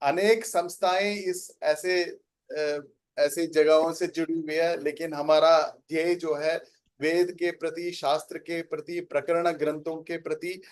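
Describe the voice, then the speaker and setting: In a Tamil accent, a man speaks at a high pitch with fairly even intonation. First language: Tamil (speaking Hindi). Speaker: organization representative. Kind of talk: inaugural speech. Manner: halting.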